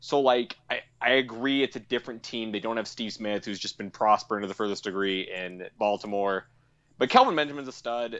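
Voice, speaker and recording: A man with an American accent speaks at a fairly quick pace. He has an unremarkable speaking voice, a medium pitch and ordinary pitch variation. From Colorado. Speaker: sports podcaster. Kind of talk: casual chat.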